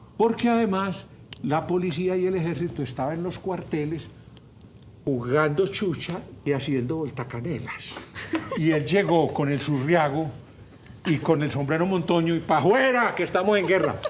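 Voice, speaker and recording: A man talks at a moderate pace in a fairly high pitch, his tone animated. Long, frequent pauses break up his speech, and room echo is audible. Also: ordinary pitch variation. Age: 70s. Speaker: politician and professor. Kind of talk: radio talk show interview.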